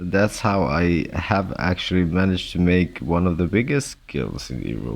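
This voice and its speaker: A man speaks with a very deep, low pitch and vocal fry at a moderate pace. His intonation is lively and he hardly pauses. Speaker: gamer vlogger. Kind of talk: monologue vlog. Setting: hospital room. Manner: halting, stammering; loud.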